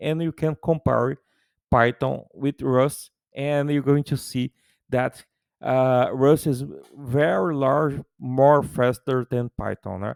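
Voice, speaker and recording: Very slowly, a man speaks with a Brazilian Portuguese accent and fairly even intonation. The recording is very clean, with a silent background and a dry, close sound with no echo. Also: medium pitch for a man. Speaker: tech YouTuber. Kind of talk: tutorial. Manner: halting.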